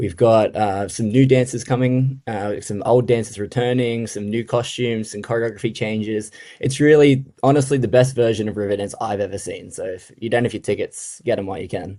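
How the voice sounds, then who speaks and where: A man with an Australian accent speaks at a medium pitch in a dark, mellow tone. He has fairly even intonation and hardly any pauses. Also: fairly quick pace. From Australia, Sydney. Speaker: touring stage dancer. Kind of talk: radio interview.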